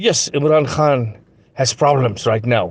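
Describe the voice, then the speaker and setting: The man's voice is somewhat breathy. He talks at a fairly slow pace. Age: 70s. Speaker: journalist. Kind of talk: recorded political appeal. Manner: repetitive, pleading.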